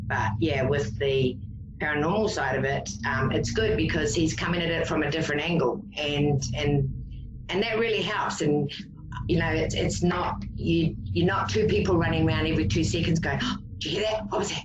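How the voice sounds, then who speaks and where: A woman with a New Zealand accent and a very deep, low pitch speaks at a moderate pace with very wide pitch swings, amid noticeable background noise and audible room echo. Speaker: psychic paranormal investigator. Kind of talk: casual chat.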